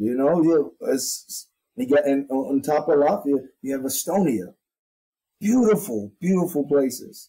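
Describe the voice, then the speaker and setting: A man with an American accent speaks at a fairly slow pace and a fairly high pitch, his tone dark and mellow and his intonation lively. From North Philadelphia. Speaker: army sergeant major, drill sergeant academy commandant. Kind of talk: interview answer.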